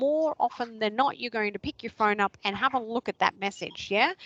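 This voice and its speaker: A fairly high-pitched woman with an Australian accent and lively intonation, dry and close with no echo. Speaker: social media trainer. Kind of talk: online workshop presentation.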